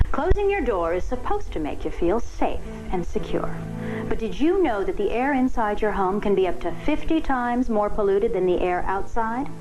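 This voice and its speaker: Over background music, a woman speaks in a fairly high pitch. Her pitch swings very widely at a moderate pace. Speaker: infomercial host. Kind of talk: TV infomercial presentation.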